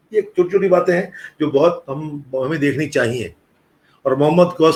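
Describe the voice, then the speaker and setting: A man with a plain, everyday voice, fairly high-pitched, at a moderate pace. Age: 60s. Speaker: retired professor and music scholar. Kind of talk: interview conversation. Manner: explanatory, conversational.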